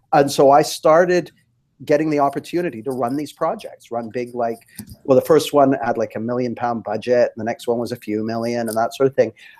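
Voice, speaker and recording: A man with a Canadian accent talks at a fairly quick pace in a medium pitch, with ordinary pitch variation and an unremarkable speaking voice. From Canada. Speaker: life coach. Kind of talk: interview. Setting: live webinar.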